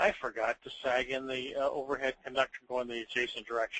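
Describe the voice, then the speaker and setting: A man with a plain, everyday voice talks at a fairly quick pace with a medium pitch and fairly even intonation. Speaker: software demonstrator. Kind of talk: live software demonstration.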